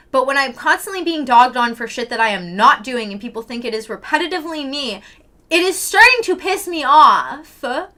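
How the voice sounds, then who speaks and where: A woman speaks in a high pitch with very wide swings in her pitch. Her voice is raised and projected, with a bright, sharp tone. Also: fairly quick pace, big swings in loudness. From Canada, Vancouver Island. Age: 20s. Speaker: livestreamer. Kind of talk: casual chat. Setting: live stream. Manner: animated.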